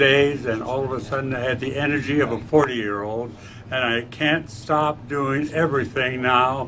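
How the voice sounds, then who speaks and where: A man speaks at a fairly slow pace and medium pitch, with fairly even intonation. Noticeable background noise and audible room echo come through. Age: 80s+. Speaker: product testimonial giver. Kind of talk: testimony.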